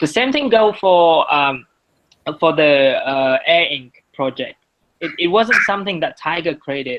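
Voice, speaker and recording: A fairly slow voice with a Vietnamese accent. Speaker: guest speaker on marketing projects. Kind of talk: presentation. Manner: halting, many repetitions.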